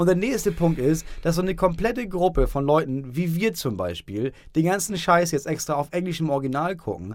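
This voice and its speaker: High in pitch, a man talks at a fairly quick pace with lively intonation. He hardly pauses at all. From northern Germany, Schleswig-Holstein. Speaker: podcast co-host. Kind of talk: casual chat.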